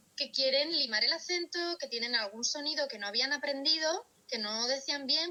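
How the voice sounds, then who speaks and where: A woman uses a raised, projected voice. Her pitch variation is ordinary. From Spain, Valladolid (Castile). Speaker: speech therapist. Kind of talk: interview conversation.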